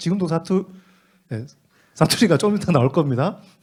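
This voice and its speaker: With lively intonation, a man speaks at a fairly quick pace in a somewhat breathy voice. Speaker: teacher training instructor. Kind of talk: teacher training lecture. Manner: fast.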